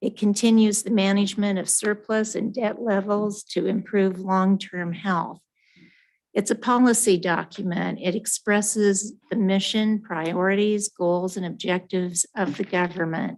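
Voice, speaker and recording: Against a quiet background, a woman talks at a fairly slow pace with medium pitch and fairly even intonation. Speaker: town finance staff presenting budget. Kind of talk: formal budget presentation. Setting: town board meeting, also streamed on Zoom. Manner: loud.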